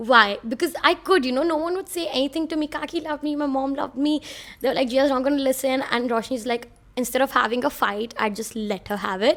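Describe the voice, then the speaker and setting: A high-pitched woman's voice with a Mumbai accent and an animated tone, on a very clean recording with a silent background. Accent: Mumbai Indian English. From India (Bhopal, then Mumbai). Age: 20s. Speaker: podcast host. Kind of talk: casual monologue.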